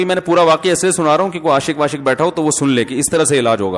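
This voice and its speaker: A man's plain, everyday voice, fairly high in pitch, with ordinary pitch variation. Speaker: Islamic scholar giving a sermon. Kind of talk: religious sermon (bayan) with anecdotes. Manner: conversational, explanatory.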